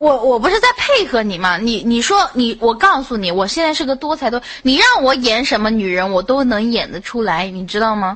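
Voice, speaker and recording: A woman with a plain, everyday voice speaks at a moderate pace in a fairly high pitch, with lively intonation and hardly any pauses. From Xinjiang, China (Han Chinese). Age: 20s. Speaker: voice chat room caller. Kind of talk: casual chat.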